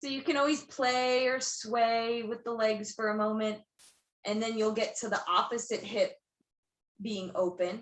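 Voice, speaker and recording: Her pitch is fairly high, and the woman keeps a fairly even intonation. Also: fairly slow pace. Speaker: yoga teacher. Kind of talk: guided yoga class instruction. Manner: loud.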